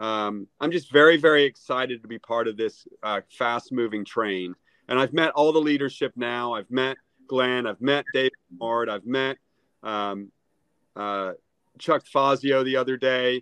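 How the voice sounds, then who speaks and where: A man speaks at a fairly slow pace in an unremarkable speaking voice, with medium pitch and ordinary pitch variation. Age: 50s. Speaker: real estate agent. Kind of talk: casual interview. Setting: video call.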